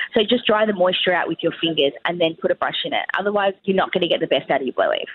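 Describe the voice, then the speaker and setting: Over noticeable background noise, a woman with an Australian accent talks at a very fast pace with hardly any pauses. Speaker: hairstylist and salon owner. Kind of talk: casual interview. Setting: phone or remote call from a cafe. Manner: loud.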